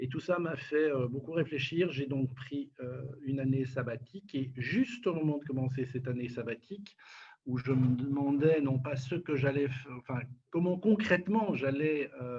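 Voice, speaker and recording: Speaking at a fairly slow pace, a man uses ordinary pitch variation. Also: fairly high pitch for a man. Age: 60s. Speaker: nonprofit director. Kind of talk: interview. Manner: hesitant, many fillers.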